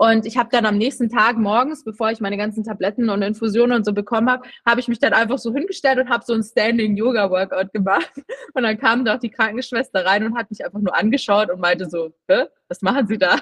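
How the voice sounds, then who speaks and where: Her pitch fairly high, a woman talks at a very fast pace with fairly even intonation. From Munich, Bavaria. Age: 20s. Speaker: influencer and personal trainer, cancer survivor. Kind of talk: interview testimony. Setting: remote call.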